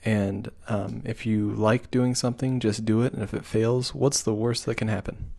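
A man speaks at medium pitch and a moderate pace with hardly any pauses. His tone is dark and mellow, his intonation fairly even. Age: 20s. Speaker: podcast co-host. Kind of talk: casual chat.

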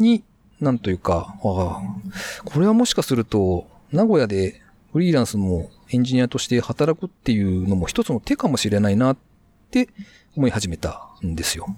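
A man at a moderate pace with long, frequent pauses, very wide pitch swings and a dark, mellow tone, in dry, close sound with no echo. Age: 40s. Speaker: freelance web engineer. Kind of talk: casual interview. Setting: remote recording.

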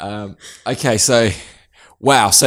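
A man with an Australian accent talks with ordinary pitch variation. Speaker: accounting podcast host. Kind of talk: casual interview. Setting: quiet office room. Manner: warm, encouraging.

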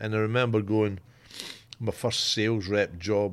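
A man's fairly low voice in a Scottish accent, fairly even in intonation, on a very clean recording with a silent background. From Scotland. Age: 50s. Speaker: football club executive, former coach. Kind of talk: casual chat.

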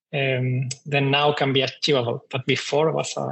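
A man with a Spanish accent speaks at a fairly high pitch and a fairly quick pace. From Chile. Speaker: startup CTO. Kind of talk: panel discussion.

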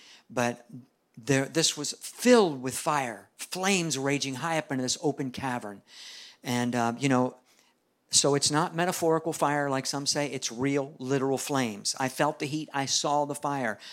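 On a very clean recording with a silent background, a man with a fairly high pitch talks at a moderate pace in an ordinary speaking voice with ordinary pitch variation. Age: 60s. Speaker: evangelist preacher. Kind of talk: sermon.

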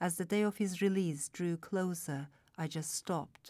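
A woman speaks in a normal speaking voice at a fairly low pitch and a moderate pace, with ordinary pitch variation, on a very clean recording with a silent background. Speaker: novelist. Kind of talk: reading aloud.

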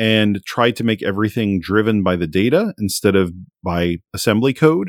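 In a normal speaking voice, a man speaks at a moderate pace with a fairly low pitch and ordinary pitch variation, the sound dry and close with no echo on a very clean recording with a silent background. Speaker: homebrew programmer and streamer. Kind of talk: casual interview chat.

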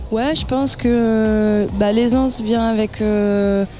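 Noticeable background noise sits behind a woman's voice. Her pitch is medium and her intonation fairly even. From France, Clermont-Ferrand. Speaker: techno musician. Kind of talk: interview. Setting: outdoor festival radio stand.

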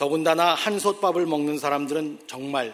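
A man speaks at a fairly slow pace with a fairly high pitch and ordinary pitch variation, with noticeable background noise behind him. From South Korea. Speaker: pastor. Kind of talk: sermon. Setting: church.

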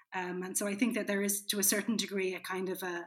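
A woman speaks with an Irish accent. Her pitch is medium. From Ireland. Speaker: film critic. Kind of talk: casual chat.

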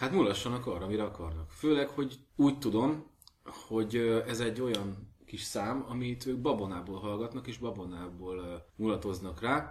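A man with a medium pitch and a somewhat breathy voice talks at a moderate pace with lively intonation. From Hungary. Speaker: podcast host. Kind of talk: casual chat.

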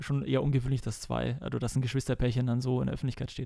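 A man talks with a slight Bavarian accent. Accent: little Bavarian accent audible. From Bavaria, Germany (Kelheim, Unterhaching). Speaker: professional football goalkeeper. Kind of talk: casual interview.

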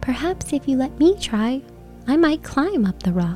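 A female-sounding voice performs a put-on character voice at a moderate pace. Clear music plays in the background.

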